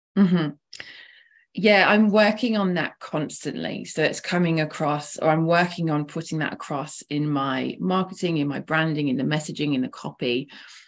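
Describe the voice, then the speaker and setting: A woman with an English accent, her pitch very deep and low, with ordinary pitch variation against a quiet background. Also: moderate pace. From England. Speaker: founder of women's network. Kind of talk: casual interview.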